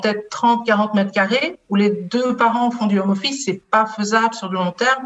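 A woman with a slight Belgian accent talks at a fairly high pitch. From Belgium. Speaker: HR business partner. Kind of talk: interview.

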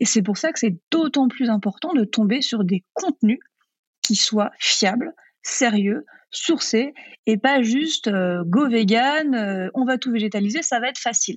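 A woman speaks fairly slowly in a normal speaking voice, her fairly high pitch moving with lively intonation. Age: 30s. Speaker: vegan cooking author and trainer. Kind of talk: interview.

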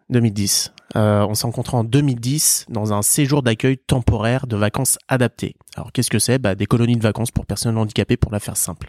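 At a fairly quick pace, a man with an unremarkable speaking voice and medium pitch talks with fairly even intonation, sounding dry and close with no echo. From Vendée, western France. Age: 30s. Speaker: startup co-founder. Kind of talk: interview.

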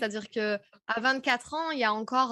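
In a very clean recording with a silent background and a dry, close sound with no echo, a woman speaks at a fairly high pitch with ordinary pitch variation. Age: 30s. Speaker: podcast host and speaking coach. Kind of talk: interview as guest, casual conversation. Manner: animated, many fillers.

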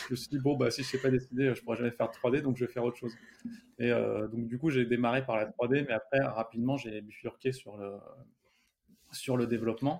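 A man speaks at a fairly quick pace, his pitch medium and his intonation fairly even. He leaves long, frequent pauses. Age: 30s. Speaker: software developer and startup founder. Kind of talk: interview.

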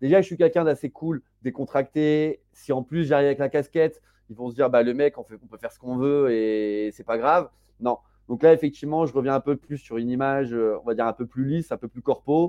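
Big swings in loudness alongside ordinary pitch variation. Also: man, fairly high pitch for a man. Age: 30s. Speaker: web3 entrepreneur and incubator co-founder. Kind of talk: casual interview. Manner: casual, many fillers and hesitations.

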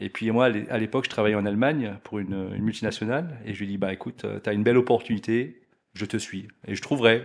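Very fast speech comes from a man with fairly low pitch. His pitch varies an ordinary amount. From Alsace, France. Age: 40s. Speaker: business executive. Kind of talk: interview.

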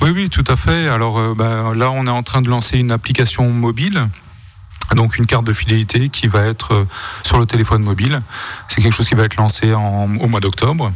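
A man at medium pitch talks at a fairly quick pace with very even loudness, over noticeable background noise. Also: ordinary pitch variation. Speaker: president of a local merchants association. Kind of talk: radio interview. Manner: relaxed, with hesitations.

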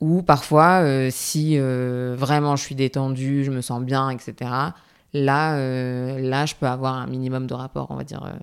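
A woman talks at a very slow pace. Her very deep, low voice stays in a flat monotone. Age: 20s. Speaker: graduate student sharing her endometriosis experience. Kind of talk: testimony. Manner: hesitant, with frequent fillers.

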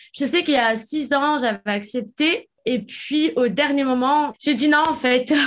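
A woman talks at a fairly slow pace and high pitch, with ordinary pitch variation and very even loudness. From France. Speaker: reality TV personality. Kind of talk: testimony. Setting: remote recording.

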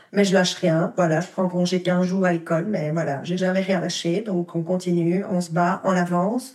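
A woman at a fairly low pitch and moderate pace, her intonation fairly even, with noticeable background noise. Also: hardly any pauses. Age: 40s. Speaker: primary school teacher. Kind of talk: testimony.

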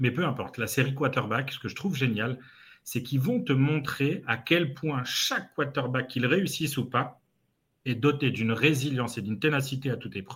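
Moderate speed and ordinary pitch variation in a man's medium-pitched voice. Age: 30s. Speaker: sales trainer. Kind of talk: casual interview.

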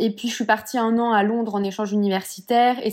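A woman's dark, mellow voice at medium pitch, moderate pace and monotone, flat intonation. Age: 20s. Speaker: Pilates teacher and entrepreneur. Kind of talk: casual interview chat. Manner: hesitant, many fillers.

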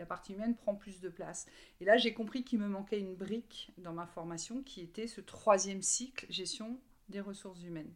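A woman speaks in a normal speaking voice at medium pitch and a moderate pace, with ordinary pitch variation and big swings in loudness. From Brittany, France. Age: 40s. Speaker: recruiter. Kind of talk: interview.

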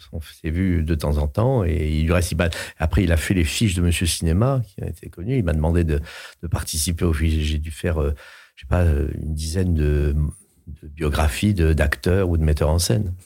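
A man speaks in a very deep, low pitch, his tone dark, mellow and somewhat breathy, with ordinary pitch variation. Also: moderate pace. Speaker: voice actor and opera singer. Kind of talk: casual chat. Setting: studio. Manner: halting, repeats words.

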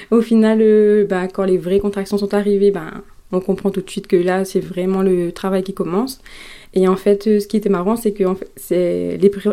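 A woman's dark, mellow tone in monotone, flat intonation. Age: 20s. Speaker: mother sharing birth story. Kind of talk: testimony. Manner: hesitant, many fillers.

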